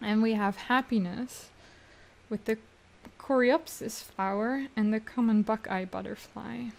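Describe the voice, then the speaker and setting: Speaking at a fairly slow pace with a non-native accent, a woman uses a fairly high pitch and fairly even intonation. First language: not English. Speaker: tarot reader. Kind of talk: tarot reading. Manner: halting.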